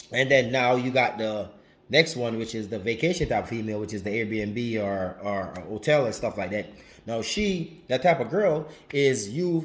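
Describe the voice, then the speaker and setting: A man speaks at a moderate pace with a Jamaican accent, his intonation lively and his tone animated. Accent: Jamaican, drops some H's. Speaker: relationship advice vlogger. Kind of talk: casual vlog monologue. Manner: animated, repetitive.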